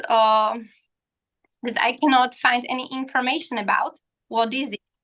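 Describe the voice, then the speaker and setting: A bright, sharp tone in a non-native accent, with fairly even intonation. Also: woman. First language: not English. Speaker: architecture student. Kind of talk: question at live Q&A. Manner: halting.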